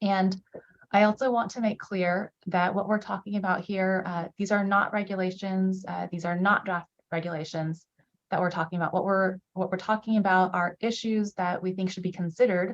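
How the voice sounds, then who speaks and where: The pitch sits at a medium level for this woman. She keeps a monotone, flat intonation. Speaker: state government official. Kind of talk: public presentation. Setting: video call. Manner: fast.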